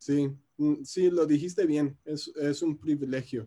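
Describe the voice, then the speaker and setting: A man with fairly even intonation and a fairly high pitch talks at a very slow pace. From US Midwest, Chicago. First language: English (speaking Spanish). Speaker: musician. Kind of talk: interview. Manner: hesitant, many filler sounds.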